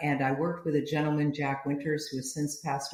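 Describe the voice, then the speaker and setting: A very deep, low-pitched woman's voice at a very fast pace over noticeable background noise. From US, Italian-American family. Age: 70s. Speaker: business founder and author. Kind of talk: podcast interview.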